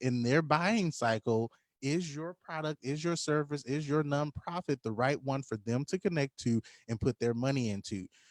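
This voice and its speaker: Lively intonation marks this man's plain, everyday voice at a fairly high pitch. He keeps a moderate pace, and the sound is dry and close with no echo. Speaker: business coach. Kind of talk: live online tutorial. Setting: livestream.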